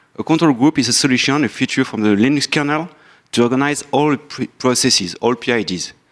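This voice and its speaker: A man with a French accent speaks at a fairly quick pace and fairly high pitch. He uses ordinary pitch variation on a very clean recording with a silent background. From France. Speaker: software engineer and company founder. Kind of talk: conference talk.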